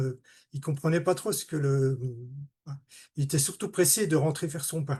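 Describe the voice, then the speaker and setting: Against a quiet background, a man with a fairly high pitch and a dark, mellow tone speaks at a moderate pace, somewhat breathy, with ordinary pitch variation. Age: 60s. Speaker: retired automation technician giving testimony. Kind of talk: testimony. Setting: video call. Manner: halting.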